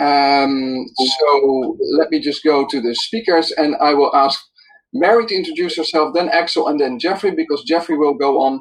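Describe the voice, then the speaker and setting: The speaker has a non-native accent. The pace is moderate. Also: man. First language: not English. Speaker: webinar moderator. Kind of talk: online webinar moderation. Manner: hesitant, many fillers.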